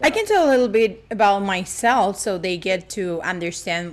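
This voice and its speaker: With an Argentine accent, a woman talks in a lively intonation. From Argentina. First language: Spanish. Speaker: actress and voice actress. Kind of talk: casual interview chat. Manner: animated.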